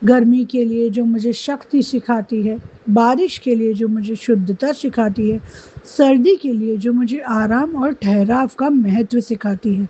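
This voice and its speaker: A woman with a fairly high voice talks, her pitch varying normally, as noticeable noise sounds behind her. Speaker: meditation guide. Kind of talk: guided gratitude meditation.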